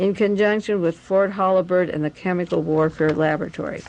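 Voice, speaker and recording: A woman with an ordinary speaking voice, medium pitch, fairly even intonation and a fairly quick pace. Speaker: radio host and conspiracy researcher. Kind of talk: radio talk reading from documents.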